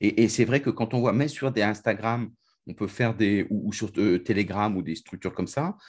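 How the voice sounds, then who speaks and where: A man with a fairly low pitch talks at a moderate pace in a normal speaking voice. His pitch varies in an ordinary way, and the background is quiet. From France. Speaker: podcast host. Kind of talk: interview.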